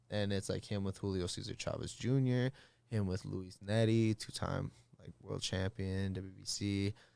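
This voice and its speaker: A dark, mellow tone carries a slight Midwestern accent and fairly even intonation. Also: man, fairly low pitch for a man, moderate pace, very clean recording, silent background. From Minnesota, US Midwest. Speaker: fighter. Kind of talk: casual chat. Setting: studio.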